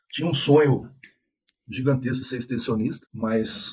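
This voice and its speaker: A man speaks at a medium pitch with fairly even intonation. His voice is somewhat breathy, with a dark, mellow tone. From Brazil, Espírito Santo interior. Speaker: animal science professor. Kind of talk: interview, technical explanation.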